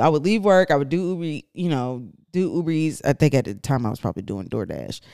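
A woman at a moderate pace on a very clean recording, the background silent. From Atlanta, Georgia. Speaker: podcast co-host. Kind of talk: casual chat.

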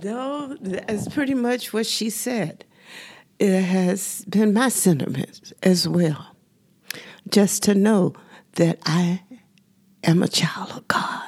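A woman with a Southern US accent speaks at a very slow pace. She takes long, frequent pauses. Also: medium pitch for a woman, lively intonation. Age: 70s. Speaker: senior center member, widow. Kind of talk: interview.

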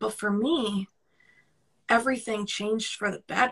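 This woman has a New York accent and a fairly high pitch. She speaks at a moderate pace. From Brooklyn, New York. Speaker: podcast guest, career coach.

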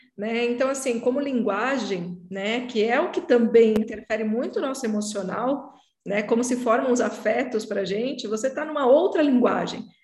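With a fairly high pitch and ordinary pitch variation, a woman speaks at a moderate pace with hardly any pauses. There is audible room echo. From Brazil. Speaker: podcast host, psychoanalyst. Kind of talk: casual interview chat.

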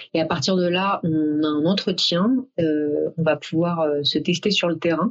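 Hardly pausing, a woman talks at a fairly low pitch with very even loudness and ordinary pitch variation over noticeable background noise. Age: 30s. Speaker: event planner, company founder. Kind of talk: interview. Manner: hesitant, many filler sounds.

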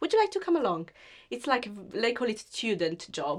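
A woman with an Italian accent at a moderate pace. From Sicily, Italy. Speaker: web design business owner. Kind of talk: interview. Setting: video call.

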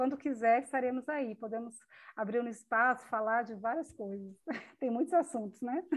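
A woman speaks with a high pitch at a moderate pace. Her pitch variation is ordinary. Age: 50s. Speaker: psychology student with ALS. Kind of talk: interview testimony.

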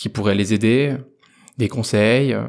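A man with an unremarkable speaking voice talks at a moderate pace in a medium pitch, his intonation fairly even, on a very clean recording with a silent background. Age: 20s. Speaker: entrepreneur. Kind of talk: interview. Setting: guest's office.

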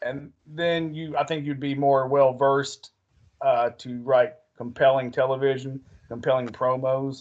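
A man with an unremarkable speaking voice, a fairly high pitch and a fairly slow pace. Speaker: podcast host. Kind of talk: promo-style announcer intro, then casual chat. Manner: showman-like, theatrical, upbeat.

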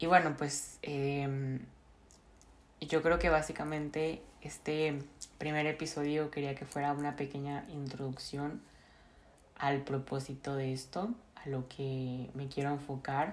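Pausing long and often, a woman speaks at a very slow pace in a very deep, low pitch with fairly even intonation. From Mexico, Monterrey. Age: 20s. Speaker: podcast host, university student. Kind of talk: casual monologue.

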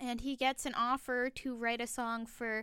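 A woman speaks at a fairly slow pace in a fairly high pitch. Her tone is bright and sharp. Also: very clean recording, silent background. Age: 20s. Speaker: podcast co-host. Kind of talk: casual chat. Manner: animated.

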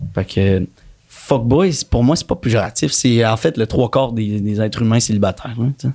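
Ordinary pitch variation runs through the delivery at a moderate pace. The voice is an unremarkable speaking voice. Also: man, medium pitch for a man. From Quebec, Montreal. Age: 30s. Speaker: actor. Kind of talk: casual chat.

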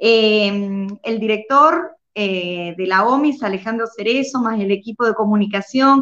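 Speaking at a fairly slow pace, a woman uses ordinary pitch variation. Her pitch is fairly high. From Argentina. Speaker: educator and online show host. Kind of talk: interview. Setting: live stream. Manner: halting, with frequent fillers.

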